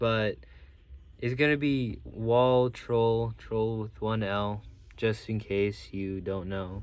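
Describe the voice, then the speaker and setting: A man of medium pitch talks at a very slow pace with fairly even intonation. He takes long, frequent pauses. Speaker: toy reviewer YouTuber. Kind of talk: toy review video. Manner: halting, many fillers; casual.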